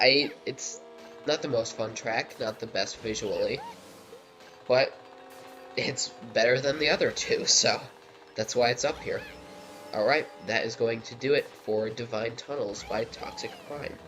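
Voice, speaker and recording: Music plays in the background as a man talks with long, frequent pauses. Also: fairly slow pace. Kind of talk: casual video game commentary.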